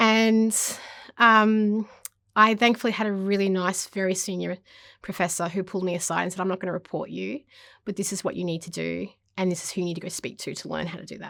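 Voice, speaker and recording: A woman with an Australian accent talks at a very fast pace in a medium pitch, captured in a very clean recording with a silent background. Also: big swings in loudness. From Papua New Guinea and Solomon Islands. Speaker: university lecturer. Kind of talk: interview talk about teaching. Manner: fast when excited.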